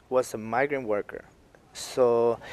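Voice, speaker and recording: A man speaks at a very slow pace with a Spanish accent, his pitch medium and his intonation fairly even. The recording is very clean, with a silent background. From Mexico. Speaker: artist and entertainer. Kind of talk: interview. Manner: halting.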